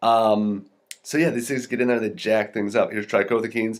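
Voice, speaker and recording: Fairly low-pitched male speech on a very clean recording with a silent background. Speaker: health podcaster reviewing studies. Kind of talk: research review talk. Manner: fast; casual with fillers.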